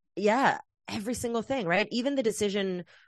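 Dry and close with no echo, the sound of a woman with an American accent comes through a quiet background at a fairly quick pace. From US West Coast, Oakland, California. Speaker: equity and liberation educator. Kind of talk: casual interview chat.

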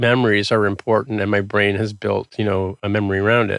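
A man talks at a moderate pace in a fairly low pitch, with a plain, everyday voice. The recording is very clean, with a silent background and a dry, close sound that has no echo. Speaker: software developer and tech podcaster. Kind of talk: casual interview chat.

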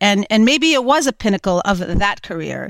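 A woman with a normal speaking voice talks at a fairly high pitch and moderate pace, with lively intonation. The recording is very clean and dry, close with no echo, over a silent background. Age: 50s. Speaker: skateboarder and entrepreneur. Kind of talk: interview conversation.

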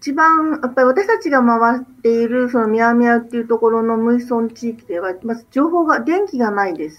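A high-pitched woman speaks at a moderate pace with hardly any pauses, lively intonation and big swings in loudness, over noticeable background noise. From Japan. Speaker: doctor and NGO leader. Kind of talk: radio interview.

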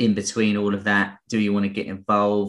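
Against a quiet background, a man with an English accent speaks at a moderate pace and a fairly low pitch. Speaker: podcast host, trading educator. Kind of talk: casual market discussion podcast.

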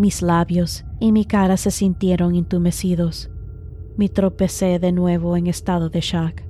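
A woman speaks at a fairly slow pace in a fairly low, somewhat breathy voice. Her intonation is monotone and flat, and her loudness stays very even. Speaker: podcast host and horror storyteller. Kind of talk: scripted horror story narration.

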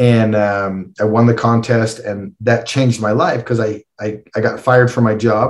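A man with a Western Canadian accent, fairly even intonation and hardly any pauses. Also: medium pitch for a man, moderate pace. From Canada, Calgary. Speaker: endurance athlete. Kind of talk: interview.

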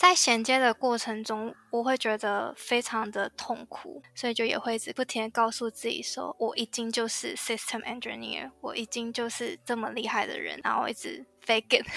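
Against background music, a woman speaks at a moderate pace with hardly any pauses, her fairly high voice showing ordinary pitch variation. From Taiwan. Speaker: IT system engineer. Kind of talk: interview.

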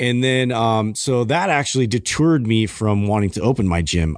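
Over a quiet background, a man with a plain, everyday voice and medium pitch talks at a moderate pace with lively intonation, very even loudness and hardly any pauses. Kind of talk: casual podcast conversation.

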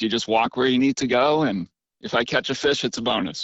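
With an American accent, the speaker has an unremarkable speaking voice and ordinary pitch variation. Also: man. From Massachusetts, Cape Cod. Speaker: fishing content creator. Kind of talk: interview.

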